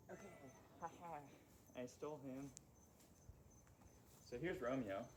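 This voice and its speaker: Audible room echo colors the voice of a man speaking at a moderate pace, his fairly high pitch showing ordinary pitch variation. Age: 20s. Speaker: vlogger. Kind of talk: casual vlog chat.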